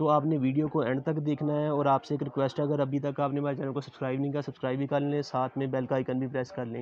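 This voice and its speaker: A man speaks at a very fast pace with monotone, flat intonation. The sound is dry with no echo, with light background noise. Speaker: market video host. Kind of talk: promotional vlog intro and interview questions. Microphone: lapel.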